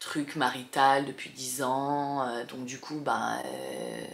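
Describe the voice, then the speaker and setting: A woman speaks with a very deep, low pitch and fairly even intonation, with audible room echo and noticeable background noise. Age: 30s. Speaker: vlogger, single mother. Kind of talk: casual chat to camera. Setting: bedroom, sitting on bed. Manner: hesitant, many fillers.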